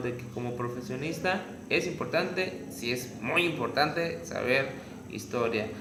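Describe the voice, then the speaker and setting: With a slight Yucatecan accent, a man talks in a medium-pitched voice and lively intonation. Audible room echo and noticeable background noise surround him. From Yucatán, Mexico. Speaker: tourism graduate. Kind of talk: interview.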